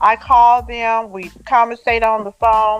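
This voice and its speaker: A woman speaks over music in the background. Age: 70s. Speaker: author. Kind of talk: interview answer.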